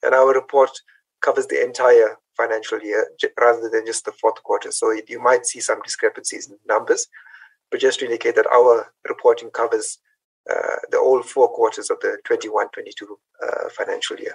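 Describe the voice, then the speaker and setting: The sound is dry and close with no echo as a man speaks at a moderate pace with big swings in loudness. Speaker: treasury official. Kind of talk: presentation briefing. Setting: video call.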